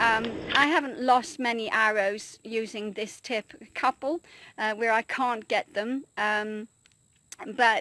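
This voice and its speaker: A woman with a British accent speaks at a fairly high pitch in a bright, sharp tone. The recording is very clean with a silent background, dry and close with no echo. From Britain. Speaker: traditional archer. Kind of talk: casual tutorial talk to camera. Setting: outdoors. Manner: hesitant, frequent fillers.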